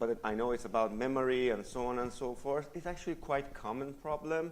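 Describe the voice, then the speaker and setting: The voice is a man's, pitched at a medium level with ordinary variation. Audible echo from the room lingers around it. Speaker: conference speaker, software developer. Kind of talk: conference talk. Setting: stage with audience. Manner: loud.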